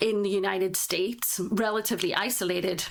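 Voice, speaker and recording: A woman speaks at a medium pitch and a moderate pace, her intonation fairly even, with audible room echo around her. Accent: British. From northeast England. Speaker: tech startup founder. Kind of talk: podcast interview. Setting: remote video call recording.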